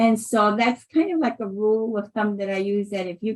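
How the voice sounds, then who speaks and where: A woman talks fairly fast in a somewhat breathy, fairly high voice. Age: 60s. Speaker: nonprofit CEO. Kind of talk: podcast interview. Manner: animated.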